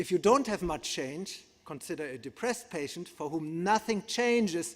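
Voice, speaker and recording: On a very clean recording with a silent background, a man speaks with a German accent at a high pitch. His pitch swings very widely, and his pace is moderate. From Germany. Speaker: psychiatrist and neuroscientist. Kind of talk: conference lecture. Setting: conference hall with audience.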